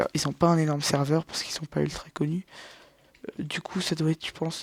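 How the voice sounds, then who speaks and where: Soft-spoken and fairly quick, the voice keeps a fairly even intonation in a dry, close sound with no echo. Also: man. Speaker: gaming youtuber. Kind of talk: let's play commentary. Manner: halting.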